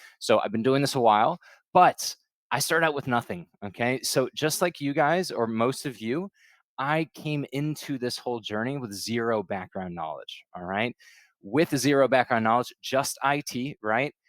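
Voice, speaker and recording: A man's voice at medium pitch with lively intonation, dry and close with no echo. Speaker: consulting interview coach. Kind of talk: webinar presentation. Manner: fast.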